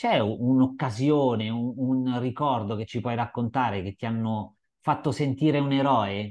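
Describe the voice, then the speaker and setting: Against a quiet background, a man with an unremarkable speaking voice speaks at a medium pitch, fairly slow and with fairly even intonation. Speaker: podcast host and interviewer. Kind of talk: casual interview chat. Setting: video call.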